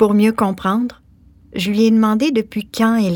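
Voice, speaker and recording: This woman speaks. Her voice is somewhat breathy. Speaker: author and actress. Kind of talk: scripted narration.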